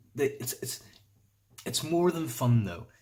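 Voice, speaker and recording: A man speaks in a somewhat breathy voice. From Northern Ireland. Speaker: vlogger. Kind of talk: casual vlog explainer. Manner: casual, hesitant with fillers.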